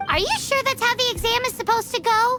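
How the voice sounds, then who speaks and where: A squeaky, put-on character voice races along at a very fast pace. Loud music plays in the background. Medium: video game.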